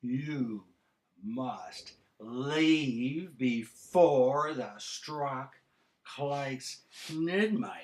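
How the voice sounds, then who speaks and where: Someone uses a put-on character voice and speaks at a very slow pace. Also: man, fairly high pitch for a man. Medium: read story.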